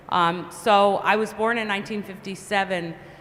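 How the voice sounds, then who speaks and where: With noticeable background noise behind her, a woman with an American accent speaks at a moderate pace and medium pitch, her intonation fairly even. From upstate New York, Cohoes. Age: 60s. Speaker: panelist, business leader. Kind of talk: panel discussion.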